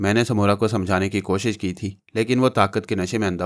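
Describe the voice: What you hear is plain reading aloud.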